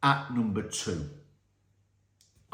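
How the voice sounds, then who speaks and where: With a British accent, a man talks in an animated tone, somewhat breathy, with audible room echo. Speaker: film review youtuber. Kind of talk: casual film ranking monologue. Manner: fast.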